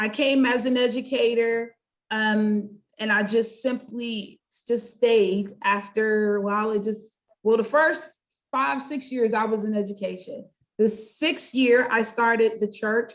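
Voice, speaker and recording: In a plain, everyday voice, a woman speaks at a fairly slow pace, her fairly high pitch held to fairly even intonation. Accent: American. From US, North Carolina. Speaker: pastor and life coach. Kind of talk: interview.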